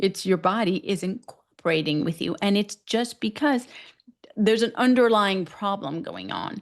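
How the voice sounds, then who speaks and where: In an American accent, a woman talks with a plain, everyday voice at medium pitch and ordinary pitch variation over a quiet background. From US West, Northern California. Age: 40s. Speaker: physician, menopause specialist. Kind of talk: podcast interview. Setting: podcast interview.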